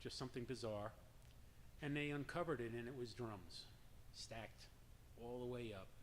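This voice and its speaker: At a moderate pace, a man talks with long, frequent pauses. His pitch is medium with ordinary variation. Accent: slight New York. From New York. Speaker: drum circle leader. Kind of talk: personal story told to an audience.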